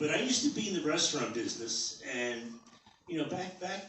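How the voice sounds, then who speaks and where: A man with a New York accent talks at a moderate pace over noticeable background noise. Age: 60s. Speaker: amateur stand-up comedian. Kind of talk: stand-up comedy set. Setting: comedy club open mic.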